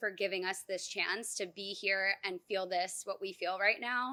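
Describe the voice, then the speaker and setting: A woman speaks loudly at a medium pitch and a moderate pace. Her tone is bright and sharp, her intonation flat and monotone. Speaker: graduating dental resident. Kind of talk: graduation speech. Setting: outdoor ceremony.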